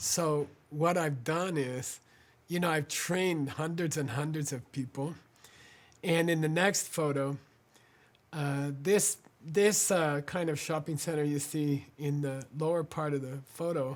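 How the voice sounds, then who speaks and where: This man has a fairly high pitch and an American accent. He speaks at a fairly slow pace. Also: fairly even intonation. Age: 60s. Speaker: spiritual teacher and organization founder. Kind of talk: fundraising appeal. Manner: halting, many fillers.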